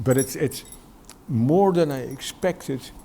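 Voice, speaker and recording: This man's voice falls in the middle of the male range. Its pitch rises and falls in a typical way. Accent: Dutch. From Netherlands. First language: Dutch. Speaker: educator and Sikh community worker. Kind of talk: interview. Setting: studio. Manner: halting, many repetitions.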